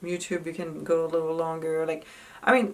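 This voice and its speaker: Against noticeable background noise, a woman with a French accent speaks at a fairly low pitch. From France. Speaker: actress. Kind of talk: casual tips talk to camera.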